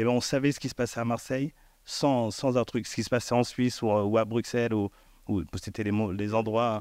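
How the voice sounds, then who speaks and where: A man talks at a fairly quick pace with fairly even intonation. The sound is dry with no echo, over a quiet background. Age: 50s. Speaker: elected official and former hip-hop dancer; guest. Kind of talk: panel discussion. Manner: halting. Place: stage. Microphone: handheld.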